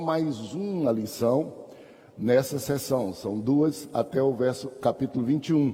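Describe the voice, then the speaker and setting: This man speaks with a fairly high pitch and ordinary pitch variation. Noticeable background noise runs through the clip. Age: 60s. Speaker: pastor and Sunday school teacher. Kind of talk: Bible class lecture. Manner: conversational.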